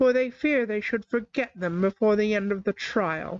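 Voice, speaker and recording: A woman's put-on character voice at a medium pitch and a moderate pace. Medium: read story. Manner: impatient, brisk.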